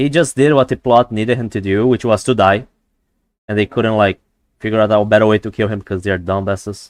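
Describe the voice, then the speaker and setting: In a non-native accent, a man talks fairly quickly at a fairly low pitch, the sound dry and close with no echo over a quiet background. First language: not English. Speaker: gaming streamer. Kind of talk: live gameplay stream chat. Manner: halting, many fillers and repeats; animated.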